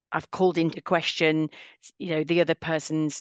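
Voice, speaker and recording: A woman with a British accent and fairly low pitch at a fairly quick pace, in a dry, close sound with no echo and a quiet background. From UK. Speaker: cultural intelligence trainer and author. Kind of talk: podcast interview.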